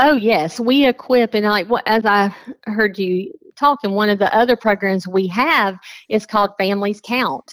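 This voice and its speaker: A woman with an American accent and an unremarkable speaking voice talks at a fairly high pitch and moderate pace, with ordinary pitch variation, very even loudness, and a dry, close sound with no echo. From South Carolina. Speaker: pregnancy counselor. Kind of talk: radio interview.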